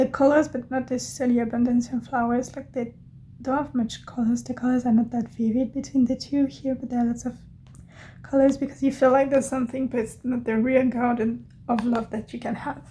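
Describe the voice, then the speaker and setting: A woman with a non-native accent speaks at a fairly quick pace in a high-pitched voice, her tone dark and mellow and her intonation flat and monotone. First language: not English. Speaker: tarot reader. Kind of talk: tarot reading. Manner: hesitant, with fillers.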